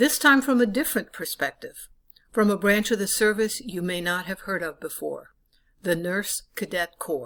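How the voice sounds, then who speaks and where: An ordinary speaking voice with lively intonation, in a very clean recording with a silent background. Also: woman, medium pitch for a woman, moderate pace. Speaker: interviewer and editor. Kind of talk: documentary narration.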